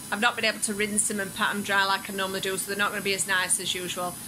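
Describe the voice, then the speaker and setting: Noticeable background noise fills the clip. Through it, a woman speaks. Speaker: food vlogger. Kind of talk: casual vlog chat. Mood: stressed, a bit flustered. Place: home room.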